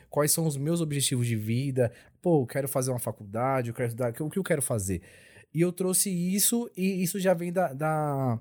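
A man talks at a moderate pace with a fairly high pitch and lively intonation. His tone is dark and mellow, on a very clean recording with a silent background. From São Paulo (Capão Redondo), born in Bahia. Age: 20s. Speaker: podcast panelist. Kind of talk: casual chat.

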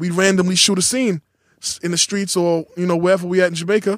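A man talks very fast with a New York accent, his pitch high and his intonation flat and monotone. The sound is dry and close, with no echo. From New York City, Queens. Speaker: rapper. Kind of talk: casual interview. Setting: studio.

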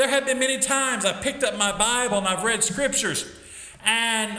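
A raised, projected voice at a moderate pace, with audible room echo and noticeable background noise. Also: man. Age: 50s. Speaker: Sunday school teacher. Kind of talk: Bible lesson. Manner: halting.

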